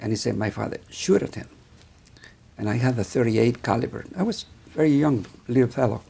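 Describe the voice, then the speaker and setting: Medium pitch from a man with a dark, mellow tone, ordinary pitch variation and a moderate pace. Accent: Mexican. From northern Mexico, Sonora. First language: Spanish. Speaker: vascular surgeon. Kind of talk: interview. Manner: halting.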